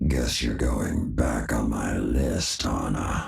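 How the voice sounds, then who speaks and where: A man in a put-on character voice speaks very slowly with a raspy, very deep, low pitch and audible echo. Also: fairly even intonation. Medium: video game. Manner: menacing.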